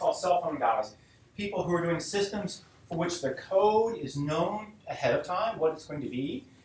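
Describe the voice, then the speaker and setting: High-pitched male speech at a moderate pace amid noticeable background noise and audible room echo. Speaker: guest lecturer, software engineer. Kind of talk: lecture. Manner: halting with repetitions.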